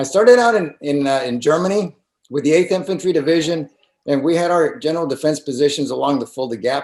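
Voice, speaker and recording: A man's plain, everyday voice with an American accent, fairly high pitch and lively intonation. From Mexico, raised in the US from age five. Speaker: political candidate, retired army colonel. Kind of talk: campaign interview.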